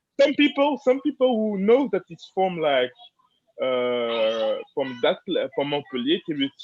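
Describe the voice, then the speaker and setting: The voice moves at a fairly slow pace with very wide pitch swings, in a French accent. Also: man, high pitch for a man. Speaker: fan translator. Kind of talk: casual chat. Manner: halting.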